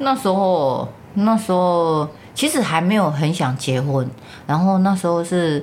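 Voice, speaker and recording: With a Taiwanese accent, a woman speaks in a fairly low voice with lively intonation and very even loudness. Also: fairly slow pace. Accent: Taiwanese Mandarin. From Taiwan, rural Changhua County. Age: 50s. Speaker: mother of the host. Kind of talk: casual family interview. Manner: put-on careful retroflex enunciation.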